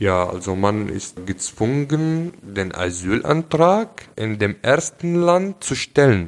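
A man in an Arabic accent, fairly low in pitch, very slow, with very wide pitch swings and hardly any pauses. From Syria. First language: Arabic (speaking German). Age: 20s. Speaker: engineering student, refugee. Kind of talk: casual interview. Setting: at the host's home.

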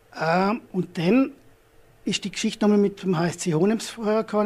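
A man speaks with a dark, mellow tone. His pace is moderate and his pitch varies in an ordinary way. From Austria, Vorarlberg (Hohenems). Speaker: entrepreneur, startup founder. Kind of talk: business presentation. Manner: halting, many fillers.

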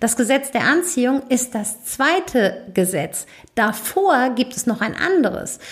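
Speaking in a Hessian accent, a woman uses lively intonation. Her pitch is fairly high. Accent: Hessian dialect, noticeable. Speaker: podcast host and business coach. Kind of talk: solo podcast monologue. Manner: casual, chatty.

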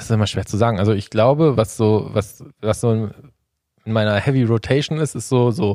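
In a normal speaking voice, a man talks at a moderate pace and medium pitch with hardly any pauses, on a very clean recording with a silent background. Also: ordinary pitch variation. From Sauerland, western Germany. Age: 30s. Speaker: angler and fishing YouTuber. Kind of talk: casual chat.

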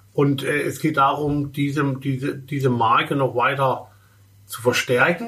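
A man's fairly high-pitched voice with fairly even intonation and noticeable background noise. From Baden, southwestern Germany. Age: 50s. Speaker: fashion industry executive and consultant. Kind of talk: interview. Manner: halting, with many fillers.

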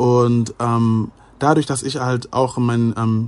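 A man talks in a medium pitch with monotone, flat intonation. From Germany (Ghanaian family). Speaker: YouTuber. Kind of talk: casual chat.

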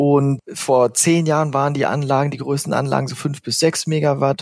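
Through noticeable background noise, a man speaks with a fairly high voice and fairly even intonation. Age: 30s. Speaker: renewable energy executive. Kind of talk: interview.

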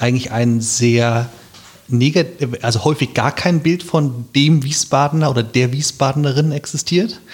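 Speaking with ordinary pitch variation, a man is heard over noticeable background noise. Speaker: local election candidate. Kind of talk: casual interview.

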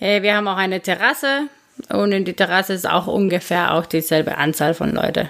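Fairly quick in pace, a woman speaks with a Spanish accent. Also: medium pitch for a woman, ordinary pitch variation. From Guatemala. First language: Spanish (speaking German). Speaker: bar owner. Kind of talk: interview. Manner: halting, frequent fillers.

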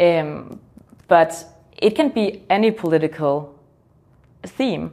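Speaking very slowly with long, frequent pauses, a woman with a Danish accent has a dark, mellow tone, a fairly low pitch and lively intonation. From Denmark. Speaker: youth political organization leader. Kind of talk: interview.

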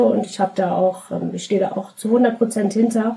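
A woman talks with monotone, flat intonation, and noticeable background noise runs under her voice. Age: 30s. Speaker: podcast guest with cystic fibrosis. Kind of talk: interview.

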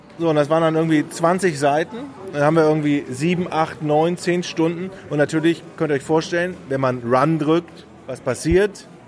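A man at fairly high pitch and moderate pace, with fairly even intonation and noticeable background noise. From Ratingen near Düsseldorf, Germany. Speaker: podcast host. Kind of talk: casual chat. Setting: recorded at a press event.

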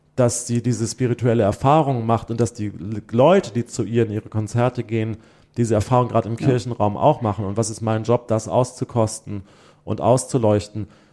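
A man speaks fairly quickly in a dark, mellow tone with fairly even intonation. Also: medium pitch for a man. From Germany, Hesse (Limburg an der Lahn). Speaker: choral arts director. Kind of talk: interview conversation.

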